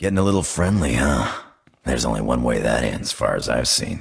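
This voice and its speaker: A man puts on a character voice, very deep and low in pitch. He talks at a fairly quick pace with a raspy sound. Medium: video game. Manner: casual.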